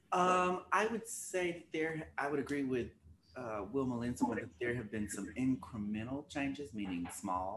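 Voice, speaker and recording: A man with a slight Arkansas accent talks at a fairly slow pace, his medium pitch making very wide swings. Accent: slight Arkansas Southern. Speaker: attorney and co-host.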